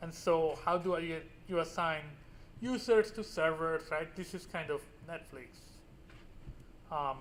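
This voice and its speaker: At a fairly slow pace and a high pitch, a man talks with long, frequent pauses, and the room echo is audible. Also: ordinary pitch variation. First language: Spanish. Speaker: university professor. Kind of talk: lecture. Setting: classroom with students. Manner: casual with frequent fillers.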